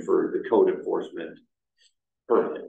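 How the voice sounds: In a room with audible echo, a man speaks at a moderate pace with vocal fry.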